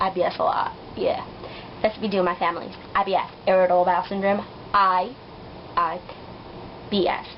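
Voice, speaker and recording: A woman speaks at a medium pitch and a fairly quick pace, her loudness very even. Long, frequent pauses break her speech, with noticeable background noise behind her. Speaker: vlogger. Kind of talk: casual vlog storytelling. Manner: fast; animated.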